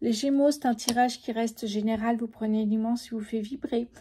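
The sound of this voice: A soft-spoken woman talks at a fairly quick pace with a dark, mellow tone and a slightly husky edge. Her pitch sits fairly high, with little pitch movement.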